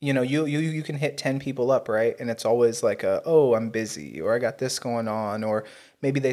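Fairly even intonation from a man at medium pitch, a plain, everyday voice at a fairly quick pace, very clean recording with a silent background. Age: 20s. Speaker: podcast host. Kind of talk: casual chat.

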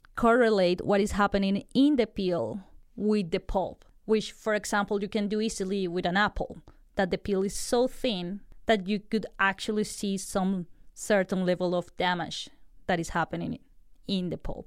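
On a very clean recording with a silent background, a woman with a Spanish accent speaks at a fairly slow pace. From Colombia. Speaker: food science graduate student, researcher. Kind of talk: interview, explaining research.

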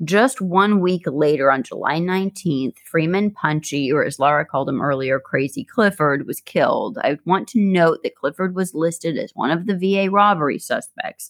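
A plain, everyday voice moves at a moderate pace with hardly any pauses. The intonation is lively, and the sound is dry and close with no echo. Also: woman, fairly low pitch for a woman. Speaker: podcast co-host. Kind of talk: true-crime narration, two hosts trading off. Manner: even, factual delivery.

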